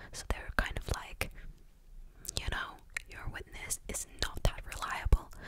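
A woman speaks at a fairly slow pace in a dry sound with no echo, over loud background noise. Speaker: true crime storyteller. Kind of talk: casual narration with commentary. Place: home room. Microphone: studio mic.

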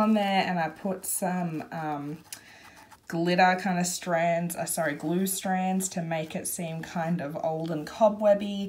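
At a very slow pace, a woman speaks in a somewhat breathy voice. Her pitch is fairly low, with fairly even intonation. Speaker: craft video maker. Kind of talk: craft tutorial flip-through. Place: home room. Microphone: phone near.

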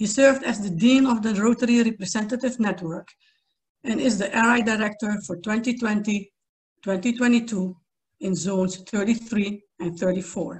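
A woman with a fairly high, somewhat breathy voice talks at a fairly slow pace with ordinary pitch variation. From Suriname. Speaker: event committee member. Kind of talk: speaker introduction. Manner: formal. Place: home room. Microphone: video call.

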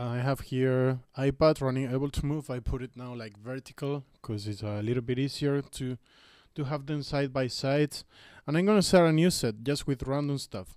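A man with ordinary pitch variation over a quiet background. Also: moderate pace, dry sound with no echo. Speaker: music gear youtuber. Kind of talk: tutorial. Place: home room. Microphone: studio mic.

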